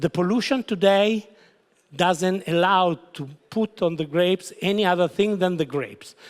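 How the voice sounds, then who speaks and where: A man in a strong Italian accent speaks at a fairly slow pace in a high pitch with ordinary pitch variation, with a dry, close sound and no echo. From Italy. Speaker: winery founder. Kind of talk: wine seminar presentation. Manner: halting.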